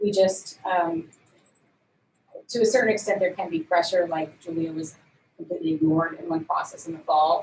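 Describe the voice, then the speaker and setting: Talking at a fairly quick pace with long, frequent pauses, a woman keeps her fairly low voice at a fairly even intonation. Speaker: diplomat at the UN. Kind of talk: Q&A presentation. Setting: video call. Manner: fast.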